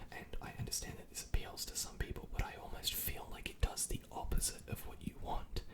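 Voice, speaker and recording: A whisper at a moderate pace, noticeable background noise underneath. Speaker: ASMR content creator. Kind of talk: whispered ASMR rant to camera. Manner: whispered, close-mic, conversational.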